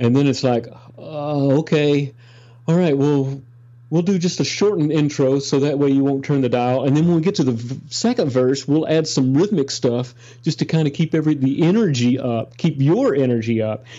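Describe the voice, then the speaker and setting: A man with an American accent has a plain, everyday voice, fairly high in pitch, with ordinary pitch variation, very even loudness and a moderate pace. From Texas, Dallas. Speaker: session guitarist. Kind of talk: casual interview.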